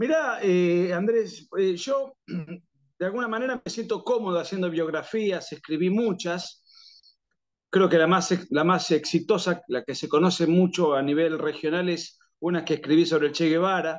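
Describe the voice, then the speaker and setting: A man with a strong Argentine accent speaks at a high pitch and a fairly slow pace, with a quiet background. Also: ordinary pitch variation. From Argentina. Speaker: political writer and analyst. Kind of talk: interview. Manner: frequent fillers and restarts.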